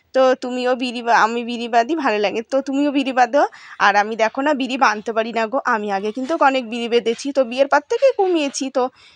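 A woman's high pitch with ordinary pitch variation. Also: dry, close sound with no echo. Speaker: home vlogger. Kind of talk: casual vlog narration. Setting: at home.

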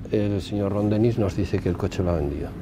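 Noticeable background noise sits behind a man speaking at a fairly quick pace. His pitch is fairly low, and the sound is dry with no echo. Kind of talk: interview answer. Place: open country. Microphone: lapel.

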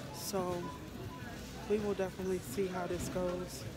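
Over loud music in the background, a woman's voice comes through dry with no echo. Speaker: vlogger. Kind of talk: casual vlog chat. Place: shop. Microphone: phone near.

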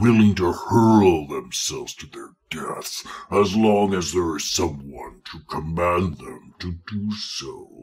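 A man's put-on character voice, fairly low in pitch and very slow. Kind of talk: in-character audio log. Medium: audio drama.

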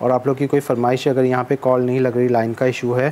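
A man's dark, mellow tone at a fast pace with little pitch movement. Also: medium pitch for a man.

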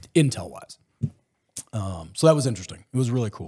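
Against a quiet background, a man speaks at a fairly quick pace in a dark, mellow tone. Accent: Texan. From Texas. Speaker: former special forces soldier; podcast guest. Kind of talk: casual interview chat. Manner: animated storyteller. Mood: relaxed, casual. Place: home room. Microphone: studio mic.

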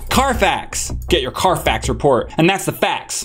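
Faint music plays in the background while the speaker talks at a moderate pace. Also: man. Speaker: video host. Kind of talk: casual vlog chat. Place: studio. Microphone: studio mic.

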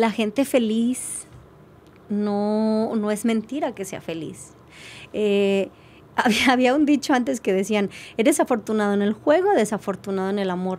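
A woman talks at a fairly slow pace with a fairly high pitch. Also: ordinary pitch variation. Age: 50s. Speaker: life coach; podcast guest. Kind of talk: interview. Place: studio. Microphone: studio mic.

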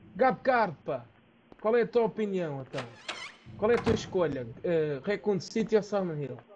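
High-pitched man in a playful tone, very wide pitch swings and long, frequent pauses over noticeable background noise. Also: fairly slow pace. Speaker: gaming streamer. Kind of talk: casual chat while playing a game. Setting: live stream. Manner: joking, with playful accent imitations.

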